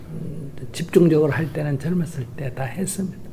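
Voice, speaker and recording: A man's fairly even intonation and fairly quick delivery come through noticeable background noise. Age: 60s. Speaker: Buddhist monk and activist. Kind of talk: interview.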